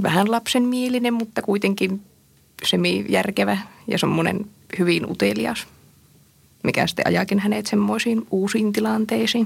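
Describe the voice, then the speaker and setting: A woman talks at a moderate pace with long, frequent pauses. Her loudness stays very even. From northern Finland. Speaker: visual artist and comics author. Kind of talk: radio interview. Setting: studio.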